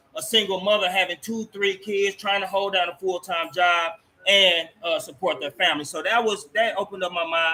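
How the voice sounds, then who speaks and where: A man projects a raised, high-pitched voice at a moderate pace with ordinary pitch variation while music plays in the background. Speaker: talk show host. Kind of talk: interview. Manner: loud.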